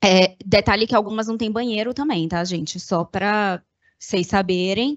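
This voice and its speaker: A woman at medium pitch and moderate pace, with fairly even intonation. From Salvador, Bahia, Brazil. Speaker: corporate communication manager. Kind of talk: panel discussion.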